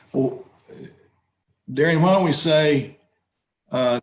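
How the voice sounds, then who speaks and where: A man with an American accent speaks at a moderate pace with fairly even intonation, and audible room echo surrounds his voice. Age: 70s. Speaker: judge. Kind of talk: court hearing. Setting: video call. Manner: halting.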